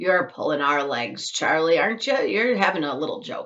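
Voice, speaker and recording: A woman's put-on character voice at a medium pitch and a moderate pace. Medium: read story.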